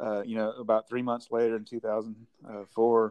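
Here a man talks with a Southern US accent at a medium pitch. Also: dry, close sound with no echo. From Mississippi, Vicksburg. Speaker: brewery founder. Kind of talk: casual interview.

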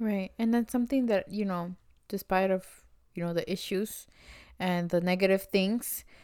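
Speaking with an American accent, a woman uses a medium pitch and a dark, mellow tone at a moderate pace. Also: fairly even intonation. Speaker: podcast co-host. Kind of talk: casual chat.

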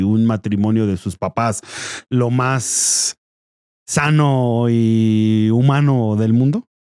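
A man with a dark, mellow tone talks at a very slow pace, keeping his loudness very even and his intonation fairly even. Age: 30s. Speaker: podcast co-host. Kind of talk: casual chat.

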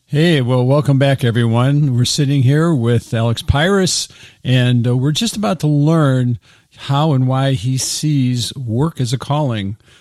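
Speaking in a normal speaking voice, a man talks at a fairly slow pace with medium pitch and ordinary pitch variation. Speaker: podcast host and ministry founder. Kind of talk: casual interview.

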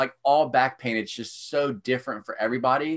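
A man with a plain, everyday voice, medium pitch, fairly even intonation, and a moderate pace. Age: 30s. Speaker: strength coach. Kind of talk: casual chat.

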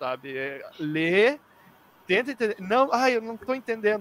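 With lively intonation, a man speaks at a high pitch in a dry, close sound with no echo. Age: 20s. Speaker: youtuber, arbitration entrepreneur. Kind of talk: casual chat.

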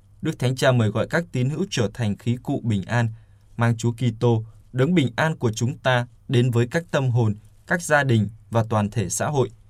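At a fairly slow pace, a man speaks in a somewhat breathy, medium-pitched voice with ordinary pitch variation. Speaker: radio news presenter. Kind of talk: news reading.

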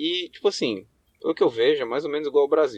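A man's voice in a dry, close sound with no echo. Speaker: college student abroad. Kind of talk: recorded answer message.

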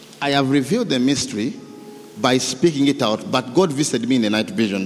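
Noticeable background noise behind a man at medium pitch, moderate pace and very wide pitch swings. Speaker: preacher. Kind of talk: sermon; fervent prayer. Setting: church. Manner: fervent; animated.

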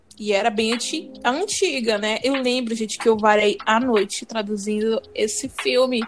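Against music in the background, a high-pitched woman speaks at a fairly slow pace with ordinary pitch variation. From Brazil, Pará. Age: 20s. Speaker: podcast co-host, fan translation group admin. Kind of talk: casual chat.

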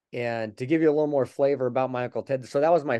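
An ordinary speaking voice comes from a man with an American accent, at a medium pitch and fairly quick pace with fairly even intonation. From Colorado, US. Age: 50s. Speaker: motivational speaker and Paralympic runner. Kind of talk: interview.

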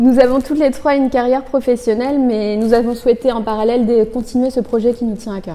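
A woman with a high pitch and a dark, mellow tone talks at a very fast pace with fairly even intonation and hardly any pauses. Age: 20s. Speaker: engineer and app co-founder. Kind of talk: interview. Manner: formal.

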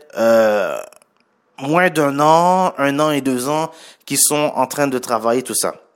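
The man's voice is fairly high. He talks very slowly. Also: very clean recording, silent background. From Haitian heritage. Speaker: podcast host and entrepreneur. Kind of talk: solo podcast monologue. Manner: casual, many fillers.

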